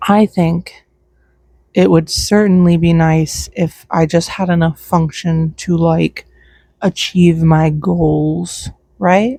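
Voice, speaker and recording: A quiet woman's voice, fairly low in pitch, somewhat breathy, with a dark, mellow tone and a very slow pace. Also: ordinary pitch variation, very even loudness. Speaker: vlogger. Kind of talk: casual chat. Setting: outdoors.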